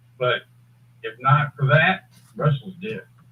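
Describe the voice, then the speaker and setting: A somewhat breathy man with an American accent at a fairly slow pace. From Texas, Dallas. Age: 70s. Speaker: author. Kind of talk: casual chat. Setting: video call.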